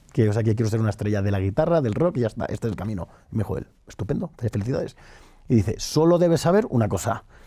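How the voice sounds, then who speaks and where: Talking very fast, a man with a medium pitch uses lively intonation in a dark, mellow tone. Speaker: entrepreneur. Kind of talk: interview. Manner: halting.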